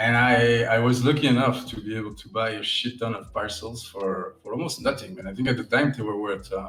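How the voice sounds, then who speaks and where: A man with a Belgian accent talks at a fairly quick pace in a medium pitch, with ordinary pitch variation, big swings in loudness, hardly any pauses, and noticeable background noise. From Belgium. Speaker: digital artist. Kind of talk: casual interview. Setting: live stream from home studio. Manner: halting, repeats words.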